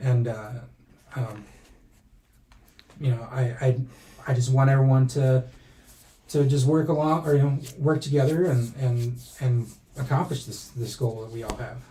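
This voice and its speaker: A man with a medium pitch and a dark, mellow, somewhat breathy tone speaks at a moderate pace. His intonation is fairly even, broken by long, frequent pauses. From raised in US by American family, born in Mexico. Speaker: pro wrestling timekeeper. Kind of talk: casual interview chat. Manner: stuttering, halting.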